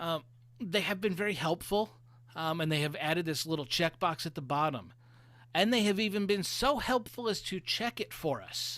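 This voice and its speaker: Over a silent background in a very clean recording, a man with an American accent speaks at a moderate pace, his high-pitched voice bright and sharp in tone, with lively intonation. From US East Coast. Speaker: web designer presenting at a meetup. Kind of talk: presentation.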